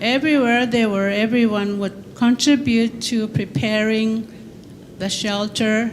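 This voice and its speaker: Speaking very slowly, a woman with a fairly high pitch is heard with audible room echo. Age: 70s. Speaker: elder panelist. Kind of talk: reading prepared remarks. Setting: conference panel.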